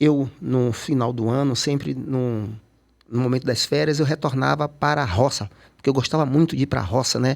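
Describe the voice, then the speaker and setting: A man speaks in an unremarkable speaking voice at medium pitch, keeping a moderate pace, very even loudness and ordinary pitch variation. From Salvador, Bahia, Brazil. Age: 60s. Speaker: photographer and cultural activist. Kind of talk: interview conversation.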